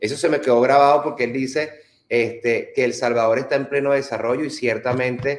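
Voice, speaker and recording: With monotone, flat intonation and very even loudness, a man speaks at a fairly quick pace and medium pitch. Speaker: political channel host. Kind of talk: casual travel chat.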